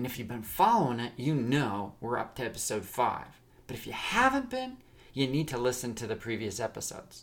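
A man speaks at a moderate pace in a plain, everyday voice with ordinary pitch variation. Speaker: podcast host and storyteller. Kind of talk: dramatic narration of a serialized story, storyteller voice. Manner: warm, direct address to listeners.

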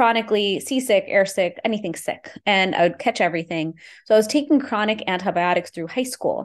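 Against a quiet background, a woman with a Texas accent speaks with ordinary pitch variation. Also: fairly high pitch for a woman, fairly quick pace. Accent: American, Texas. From Houston, Texas, US (Indian immigrant family). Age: 40s. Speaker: Ayurvedic practitioner. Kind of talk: interview.

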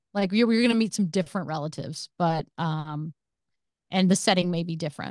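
A woman talks at a moderate pace with ordinary pitch variation. The sound is dry and close with no echo, over a quiet background. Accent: American. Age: 50s. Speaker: romance author. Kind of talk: casual interview chat. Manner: halting, many fillers and repeats.

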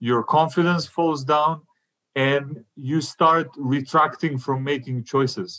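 A man with a Macedonian accent, very slow pace, fairly high pitch, fairly even intonation and a bright, sharp tone. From North Macedonia. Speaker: stand-up comedian. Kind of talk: interview.

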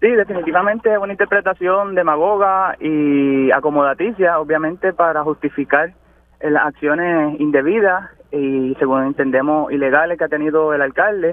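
The pitch moves in an ordinary way. The pace is moderate. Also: man, fairly high pitch for a man. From Puerto Rico, Utuado area. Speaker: agronomist, farmer. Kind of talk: radio interview. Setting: phone call.

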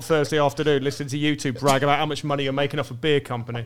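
A man with a southern English accent and fairly high pitch, fairly even intonation, and noticeable background noise. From Brighton, southern England. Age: 30s. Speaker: comedian. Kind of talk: casual chat.

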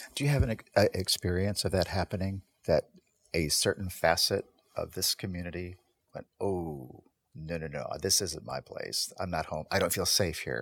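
The speaker has vocal fry and ordinary pitch variation, moving at a moderate pace. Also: man, very deep, low pitch for a man. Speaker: guest, community conversation program host. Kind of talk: casual conversational discussion.

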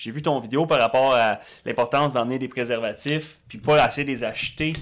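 The voice moves at a moderate pace with fairly even intonation. Music plays in the background. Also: man. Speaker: podcast co-host. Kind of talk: casual podcast chat.

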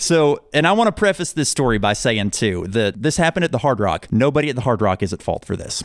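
Very fast speech with hardly any pauses and very wide pitch swings. The recording is very clean, dry and close, with a silent background and no echo. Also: man, medium pitch for a man. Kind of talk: heartfelt on-air-style chat, warm thank-you sign-off to the host. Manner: earnest, warm and sincere, gushing with gratitude.

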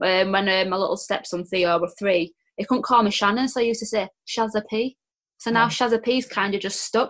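With a Yorkshire accent, a woman speaks very fast at a fairly high pitch, her pitch varying in an ordinary way. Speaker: guest sharing weight loss story. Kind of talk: personal storytelling in interview.

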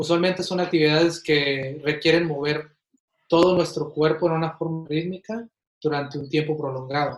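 The speaker is a man with an ordinary speaking voice and a fairly high pitch. He keeps a moderate pace and fairly even intonation. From Mexico, Ciudad Juárez, Chihuahua, then Kansas City from age ten. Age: 20s. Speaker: physiotherapist. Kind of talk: interview. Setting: at home, remote.

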